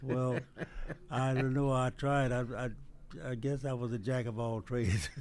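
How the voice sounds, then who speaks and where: A man with a Texas accent speaks in a medium pitch with fairly even intonation. Long pauses come often. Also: moderate pace. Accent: Southern US (Texas). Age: 80s+. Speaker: retired police officer. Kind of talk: radio interview. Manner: halting.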